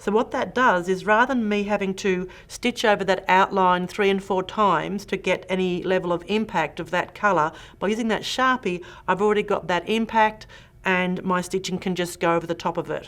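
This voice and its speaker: A woman with a strong Australian accent speaks at a moderate pace and medium pitch, recorded very cleanly against a silent background. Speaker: quilting instructor. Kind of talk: tutorial. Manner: animated.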